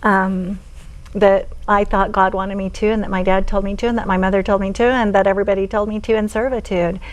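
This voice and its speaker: Amid audible room echo, a woman with an American accent talks at a very fast pace, her medium-pitched voice flat and monotone. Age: 60s. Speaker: author and former polygamist group member. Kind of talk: interview testimony. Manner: halting.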